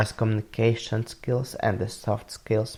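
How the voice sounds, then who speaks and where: Speaking with a non-native accent, a man with a dark, mellow tone and vocal fry talks at a moderate pace, fairly low in pitch with ordinary pitch variation. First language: not English. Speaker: university student. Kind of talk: student podcast presentation. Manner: some hesitations and self-corrections.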